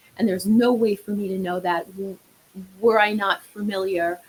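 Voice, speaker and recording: Speaking with a New York accent, a woman keeps a moderate pace. Her medium-pitched voice has fairly even intonation. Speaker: marriage therapist. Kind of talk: podcast interview.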